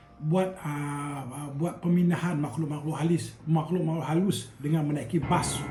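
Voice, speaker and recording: Against noticeable background noise, a man with a fairly high pitch talks at a fairly slow pace, his intonation fairly even and hardly any pauses in his speech. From Kedah, Malaysia. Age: old. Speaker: retired airline worker. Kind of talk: casual storytelling to camera.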